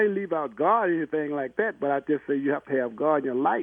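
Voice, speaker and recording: A man at a fairly quick pace. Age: 60s. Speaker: caller. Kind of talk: rambling phone call. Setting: phone call. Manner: meandering, halting.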